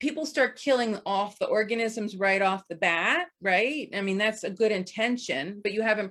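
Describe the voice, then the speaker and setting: A woman talks at a moderate pace in a plain, everyday voice. Her pitch varies in an ordinary way. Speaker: homeopath and healer. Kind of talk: presentation.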